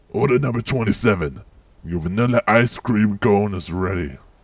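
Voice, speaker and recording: Using a cartoonish character voice, a man talks at a moderate pace and a fairly low pitch. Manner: deadpan.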